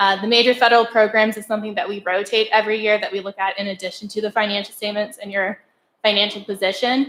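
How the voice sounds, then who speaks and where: A woman's fairly high voice, very fast and monotone, with flat intonation and big swings in loudness. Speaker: auditor presenting to school board. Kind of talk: formal presentation. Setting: board meeting room. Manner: soft-spoken.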